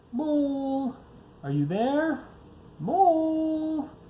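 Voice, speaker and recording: A man doing a put-on character voice. His pitch is pushed extremely high. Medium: read story. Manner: gentle, slow.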